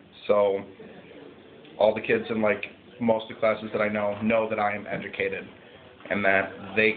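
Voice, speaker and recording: Noticeable background noise fills the recording. A man speaks over it at a moderate pace. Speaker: student activist. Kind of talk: personal testimony. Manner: loud; casual, hesitant with fillers.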